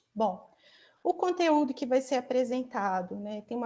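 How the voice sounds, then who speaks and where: A woman speaks at a moderate pace in a normal speaking voice with ordinary pitch variation. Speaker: academic job candidate. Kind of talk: lecture. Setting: video call.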